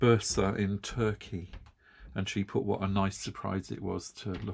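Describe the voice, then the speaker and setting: A man with an English accent has a very deep, low voice. The recording is very clean, with a silent background. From UK. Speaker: yarn craft video host. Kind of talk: casual chat. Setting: home studio. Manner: halting.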